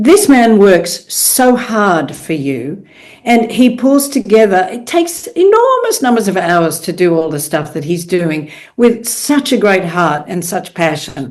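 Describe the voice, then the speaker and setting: A woman's pitch swings very widely. Her voice carries audible room echo and noticeable background noise. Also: medium pitch for a woman, fairly slow pace. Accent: Australian. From Australia. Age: 70s. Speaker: professional speaker. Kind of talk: podcast interview. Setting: podcast.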